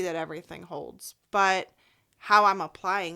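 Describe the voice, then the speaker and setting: Over a silent background in a very clean recording, a woman speaks at a fairly slow pace in a bright, sharp, animated tone. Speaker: life coach. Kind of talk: podcast interview. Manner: loud.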